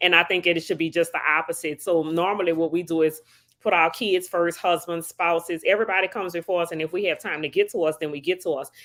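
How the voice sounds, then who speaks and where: Very fast and with fairly even intonation, a woman with a New Orleans accent speaks at a fairly low pitch on a very clean recording with a silent background. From New Orleans, Louisiana. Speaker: psychotherapist. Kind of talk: interview.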